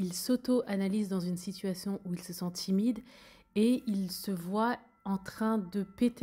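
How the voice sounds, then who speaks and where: A soft-spoken, somewhat breathy woman's voice of medium pitch, dark and mellow in tone, with fairly even intonation, on a very clean recording with a silent background. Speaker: singer and vlogger. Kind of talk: narration.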